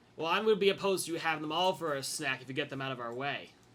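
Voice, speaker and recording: A raspy, put-on character voice rattles along at a very fast pace. Its pitch varies in an ordinary way. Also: man, fairly high pitch for a man. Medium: actual play.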